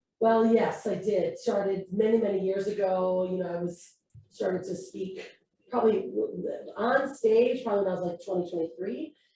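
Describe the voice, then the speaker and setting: An unremarkable speaking voice moves at a moderate pace, its pitch varying in an ordinary way. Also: woman, medium pitch for a woman. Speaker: personal branding entrepreneur and speaker. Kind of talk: interview conversation.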